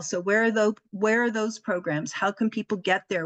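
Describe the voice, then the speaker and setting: In a plain, everyday voice, a woman speaks at a moderate pace with ordinary pitch variation, the sound dry and close with no echo. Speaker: community helpline representative. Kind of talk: presentation.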